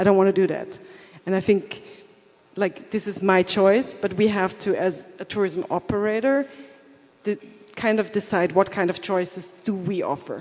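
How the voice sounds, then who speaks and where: Amid noticeable background noise, the speech moves at a moderate pace with long, frequent pauses. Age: 40s. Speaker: tourism operator and content creator. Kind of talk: panel discussion.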